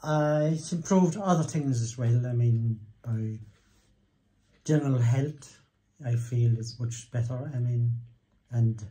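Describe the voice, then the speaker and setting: Somewhat breathy with a dark, mellow tone, a man speaks at a fairly slow pace with ordinary pitch variation. He leaves long, frequent pauses. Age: 80s+. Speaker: chiropractic patient. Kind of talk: testimonial interview answer. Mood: pleased, grateful. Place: office. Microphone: phone near.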